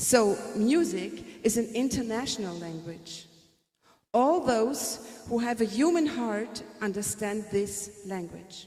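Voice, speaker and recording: A woman's fairly high voice at a very slow pace, with lively intonation and audible room echo. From Germany. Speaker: music teacher. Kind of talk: presentation. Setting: conference with audience.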